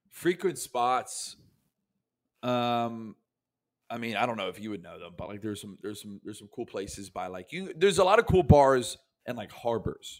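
An unremarkable speaking voice belongs to a man with an American accent, talking at a moderate pace with lively intonation and big swings in loudness. The recording is very clean, with a silent background. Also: medium pitch for a man. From US South, Tampa, Florida. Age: 20s. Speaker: comedian. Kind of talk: casual chat.

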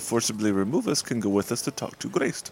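A man talks in a normal speaking voice. His pitch moves in an ordinary way. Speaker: podcast co-host and player. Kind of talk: tabletop role-playing game session.

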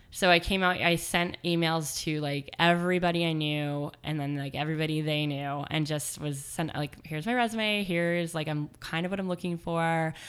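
A woman with an American accent and an ordinary speaking voice, fairly low in pitch, fairly even in intonation, at a moderate pace with hardly any pauses. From Portland, Oregon. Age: 30s. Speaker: blogger and font industry worker. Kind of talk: interview.

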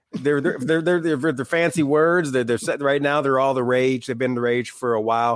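A man with an unremarkable speaking voice at medium pitch talks at a fairly quick pace with hardly any pauses and ordinary pitch variation. The recording is very clean, with a silent background. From Michigan, small town. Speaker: author and podcast host. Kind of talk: casual interview chat.

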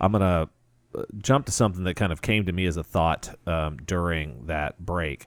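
Very deep and low, a man's voice moves along at a moderate pace. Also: ordinary pitch variation, dry, close sound with no echo, very clean recording, silent background. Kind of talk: radio DJ patter: local AM talk-show host station ID, segment bumpers and show plugs. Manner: steady, conversational, easygoing, with frequent 'uh' fillers and a friendly tone.

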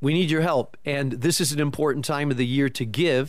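Fairly high-pitched for a man, this is an unremarkable speaking voice with ordinary pitch variation. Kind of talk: radio interview.

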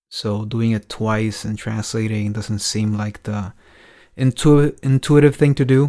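In a Dominican accent, a dark, mellow voice moves at a fairly slow pace on a very clean recording with a silent background. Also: man. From Dominican Republic. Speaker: DJ and radio host. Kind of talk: casual chat; scripted narration.

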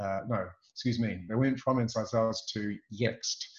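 A man at a medium pitch, at a fairly slow pace. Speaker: sales consultant and trainer. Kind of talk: casual interview chat. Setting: video call.

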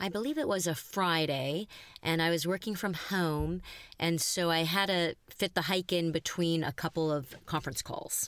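On a very clean recording with a silent background, a woman has an ordinary speaking voice at a fairly low pitch, with ordinary pitch variation and very even loudness. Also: moderate pace. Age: 50s. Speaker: talent agent sharing a dating story. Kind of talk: interview, personal anecdote.

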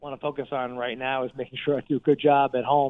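In a normal speaking voice, a man with an American accent talks at a moderate pace and a fairly high pitch. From New Jersey. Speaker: congressman. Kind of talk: interview.

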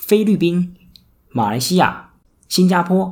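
A man at a moderate pace in a very clean recording with a silent background. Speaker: podcast host and casino worker. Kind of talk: solo podcast monologue. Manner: many filler words.

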